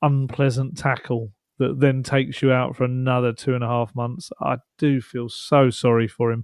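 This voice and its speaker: A man with a medium pitch and a normal speaking voice, fairly slow pace, quiet background. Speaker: football journalist and co-host. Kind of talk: casual chat.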